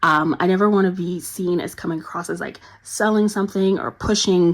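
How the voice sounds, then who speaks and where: Monotone and flat, a woman speaks with fairly low pitch. Her pace is fairly quick. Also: very clean recording, silent background. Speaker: journaling YouTuber. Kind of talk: casual product review talk. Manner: fast; filler-heavy, lots of ums.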